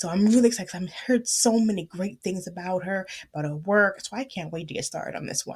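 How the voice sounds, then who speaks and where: A woman talks at a fairly quick pace in an animated, somewhat breathy voice of medium pitch, with ordinary pitch variation and big swings in loudness. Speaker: book podcaster. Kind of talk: casual book review chat. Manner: fast.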